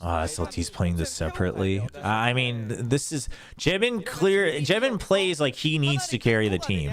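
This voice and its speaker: Over music in the background, a man with an American accent talks at a moderate pace in a medium pitch, his voice making very wide pitch swings. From US East Coast (Upstate New York), part childhood in Korea. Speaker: esports caster. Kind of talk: live commentary on watch-party stream. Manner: animated.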